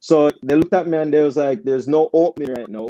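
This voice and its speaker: A man talks with a strong Jamaican accent in a dark, mellow tone. The sound is dry and close, with no echo. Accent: thick Jamaican. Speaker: soccer coach. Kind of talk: casual chat. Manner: animated.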